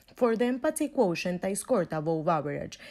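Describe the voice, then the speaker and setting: A woman speaks fairly quickly in a Venezuelan accent, her intonation lively. Her tone is dark and mellow. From Venezuela, Caracas. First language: Spanish. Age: 20s. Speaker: university student. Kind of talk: scripted class presentation.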